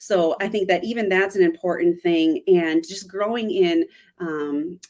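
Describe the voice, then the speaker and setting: A woman with an American accent uses a plain, everyday voice at medium pitch, speaking fairly slowly with fairly even intonation and big swings in loudness. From United States. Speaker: missionary. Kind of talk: interview conversation.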